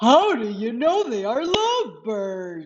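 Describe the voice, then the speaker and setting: A female-sounding, put-on character voice comes at a fairly high pitch. The pace is fairly slow. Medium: read story. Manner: anxious, fretful.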